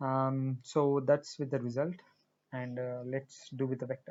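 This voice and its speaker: A man speaks in a Marathi accent. His voice has a medium pitch. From India, Hyderabad. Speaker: programming tutorial creator. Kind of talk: tutorial. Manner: halting, many fillers.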